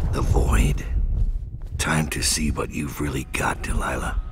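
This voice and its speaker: A put-on character voice at a fairly slow pace, amid loud background noise. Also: man. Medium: machinima. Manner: terse, dry.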